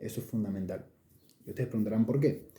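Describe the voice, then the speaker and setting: Speaking in a Rioplatense accent, a man with a medium pitch and a dark, mellow tone sounds somewhat breathy, with ordinary pitch variation. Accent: Argentine Rioplatense Spanish. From Olavarría, Argentina. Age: 20s. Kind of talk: casual talk to camera. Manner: hesitant, many filler sounds.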